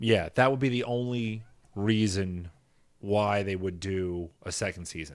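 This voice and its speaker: A man with an American accent speaks at a fairly low pitch and a fairly slow pace. His voice is an unremarkable speaking voice with ordinary pitch variation. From US Northeast. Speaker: podcast co-host. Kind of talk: casual chat.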